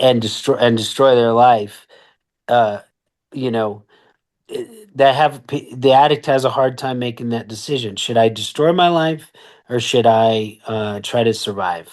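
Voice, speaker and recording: A man at medium pitch speaks at a fairly slow pace with ordinary pitch variation. The background is quiet. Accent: American. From western US (Colorado, Oregon, New Mexico). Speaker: recovery advocate and company founder. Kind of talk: podcast interview. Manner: halting, many repetitions.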